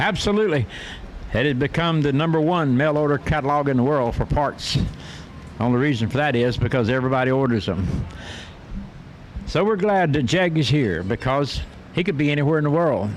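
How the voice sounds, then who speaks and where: A man with a fairly high pitch talks at a fairly quick pace with lively intonation and very even loudness, leaving long, frequent pauses over noticeable background noise. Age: 80s+. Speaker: drag racing announcer. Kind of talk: live commentary.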